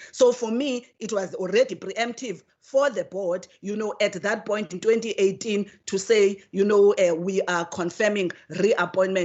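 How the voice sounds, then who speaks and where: Fairly slow speech with fairly even intonation and hardly any pauses. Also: woman, medium pitch for a woman. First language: not English. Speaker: committee member, legislator. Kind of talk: committee hearing debate. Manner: halting, many repetitions; formal.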